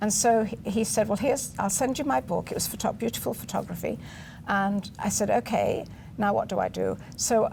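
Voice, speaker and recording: This woman speaks at a moderate pace with an English accent. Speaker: literary agent. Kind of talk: interview.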